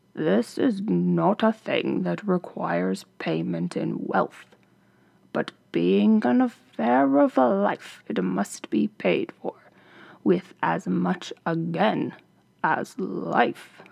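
A man's medium-pitched voice at a very slow pace. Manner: grave, solemn.

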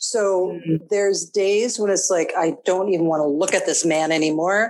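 The speaker has a Minnesotan accent and a moderate pace. Pitch variation is ordinary. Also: woman. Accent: Minnesota. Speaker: interview guest, relationship coach.

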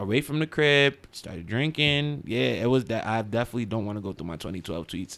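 Speaking at a fairly quick pace with hardly any pauses, a man with an American accent uses lively intonation in an ordinary speaking voice at a medium pitch. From Central New Jersey. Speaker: DJ. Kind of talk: casual chat. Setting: studio.

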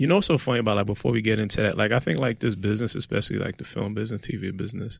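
With a Brooklyn accent, a man speaks at a very fast pace in a fairly low voice with ordinary pitch variation and hardly any pauses. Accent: New York (Brooklyn). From Brooklyn, New York. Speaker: podcast host. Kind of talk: casual chat.

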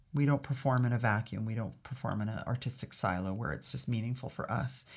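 A woman with a Canadian accent talks at a very fast pace in a very deep, low pitch, with vocal fry and ordinary pitch variation. The recording is very clean, with a silent background. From Northern Alberta, Canada. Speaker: ballet company executive director. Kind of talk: interview.

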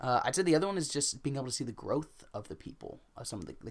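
A man at a medium pitch rattles along at a very fast pace with vocal fry and lively intonation. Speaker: podcast host. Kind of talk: casual chat. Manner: playful, joking.

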